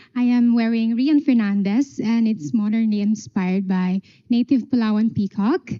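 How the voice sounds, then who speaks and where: A woman's somewhat breathy, fairly high voice with a dark, mellow tone, ordinary pitch variation and a fairly slow pace, dry and close with no echo. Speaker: pageant contestant. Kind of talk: onstage interview answer.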